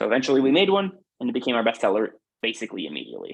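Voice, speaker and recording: Pitch variation here is ordinary. The speaker is a man. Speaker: food business founder. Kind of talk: webinar presentation. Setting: online webinar. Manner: fast.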